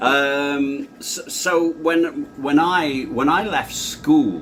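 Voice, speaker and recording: A man with a fairly high pitch and lively intonation talks against noticeable background noise. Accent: South Yorkshire. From northern England, Doncaster. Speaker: sales trainer. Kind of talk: interview.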